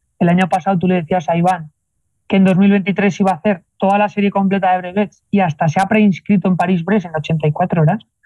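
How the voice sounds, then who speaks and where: A high-pitched man's voice with a dark, mellow tone, fairly even intonation and a fairly quick pace, recorded dry and close with no echo. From Spain (Zaragoza). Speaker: bike mechanic and randonneur. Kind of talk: interview.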